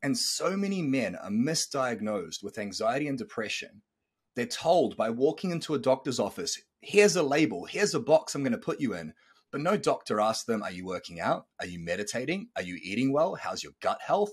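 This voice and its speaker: In a very clean recording with a silent background, a man with a fairly high pitch and vocal fry talks at a fairly quick pace, his pitch swinging very widely and his loudness shifting a lot. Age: 30s. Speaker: podcast host and coach. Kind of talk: pep talk. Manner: intense, emphatic, preaching; fast, punchy, motivational.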